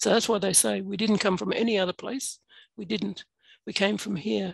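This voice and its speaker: A woman talks at a moderate pace with an Australian accent. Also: quiet background, dry sound with no echo. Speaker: adjunct professor. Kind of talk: workshop talk. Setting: video call. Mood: earnest, reflective. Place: home room. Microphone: headset.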